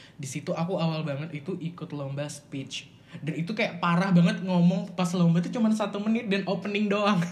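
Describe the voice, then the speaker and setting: In a room with audible echo, a man talks at a fairly quick pace with hardly any pauses, his high pitch moving with ordinary variation. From Samarinda, East Kalimantan, Indonesia. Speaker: university student and public speaker. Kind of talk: casual chat.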